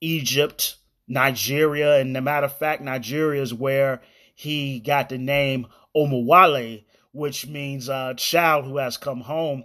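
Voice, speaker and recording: Against a very clean, silent background, a man speaks at a fairly high pitch with monotone, flat intonation. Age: 30s. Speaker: podcast host. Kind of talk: solo commentary podcast.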